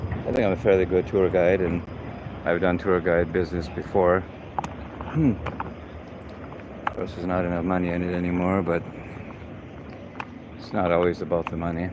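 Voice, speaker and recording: Against noticeable background noise, a man speaks fairly quickly in a very deep, low voice with a relaxed tone and monotone, flat intonation. He leaves long, frequent pauses. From Canada, Saskatchewan. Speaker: live-stream host and tour guide. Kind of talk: live walking city tour. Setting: outdoors, walking the city streets. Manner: casual, relaxed.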